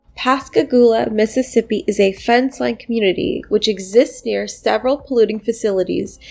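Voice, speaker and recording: A woman with a fairly high pitch talks at a moderate pace while music plays in the background. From Pittsburgh, Pennsylvania. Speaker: podcast host. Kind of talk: interview.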